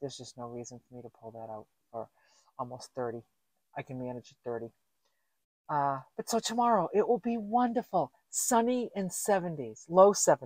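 In a quiet background with dry sound and no echo, a woman speaks at a moderate pace with big swings in loudness. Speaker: van-life vlogger. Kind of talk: casual vlog chat. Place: car. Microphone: camera far.

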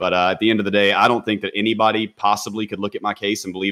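A man with an American accent speaks at a very fast pace, fairly low in pitch with a bright, sharp tone. The background is quiet. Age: 20s. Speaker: gaming content creator and former prisoner. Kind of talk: casual podcast interview. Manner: animated. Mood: wry, self-deprecating.

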